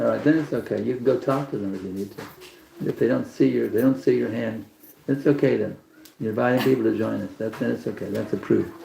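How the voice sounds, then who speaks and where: There is noticeable background noise behind this man. He talks very fast in a Texan accent. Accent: Texan American English. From Texas. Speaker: spiritual teacher. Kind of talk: religious class talk. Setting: evening program with live audience.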